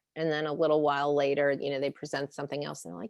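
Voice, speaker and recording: Very fast speech comes from a woman, with a dry, close sound and no echo. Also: quiet background. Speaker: brand strategist, business founder. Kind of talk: presentation.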